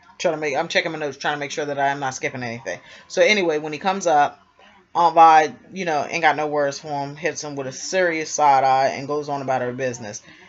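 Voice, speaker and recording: Over noticeable background noise, a woman with a very deep, low pitch speaks very fast with fairly even intonation. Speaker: TV recap vlogger. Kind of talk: casual TV episode recap. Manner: yawning.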